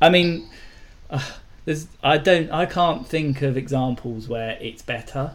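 A man with a British accent speaks at a fairly high pitch and a fairly slow pace, with ordinary pitch variation. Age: 30s. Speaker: podcast co-host. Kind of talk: casual chat.

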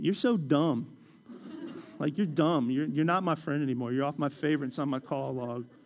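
With ordinary pitch variation, a man speaks in a fairly high voice. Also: moderate pace. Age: 40s. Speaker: pastor. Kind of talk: sermon.

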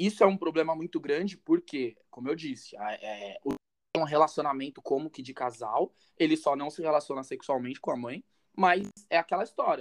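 An unremarkable speaking voice moves at a moderate pace with lively intonation, recorded dry and close with no echo. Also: man. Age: 20s. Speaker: content creator on masculinity and relationships. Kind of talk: casual chat.

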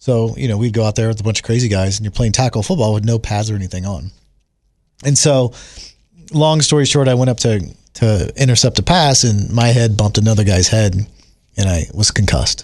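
Against a quiet background, a man with a normal speaking voice talks at a fairly quick pace and fairly low pitch with ordinary pitch variation. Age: 40s. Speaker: host's husband. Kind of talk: casual chat.

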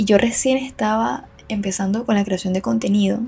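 A woman speaks at a moderate pace and medium pitch, her dark, mellow tone showing vocal fry and a slightly husky edge.

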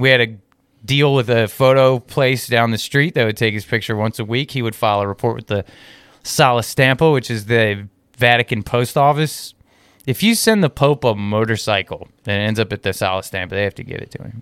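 This man talks at a fairly quick pace with a medium pitch, ordinary pitch variation, and big swings in loudness. The sound is dry and close, with no echo. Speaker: YouTuber and traveler. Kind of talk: casual chat. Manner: animated, talkative.

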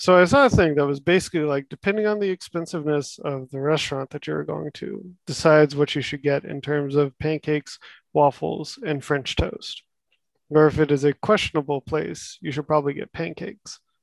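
A man with an American accent and an unremarkable speaking voice talks at a fairly quick pace in a fairly high pitch with ordinary pitch variation, in a dry, close sound with no echo. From Texas. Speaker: former housemate, works on construction projects. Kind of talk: casual chat.

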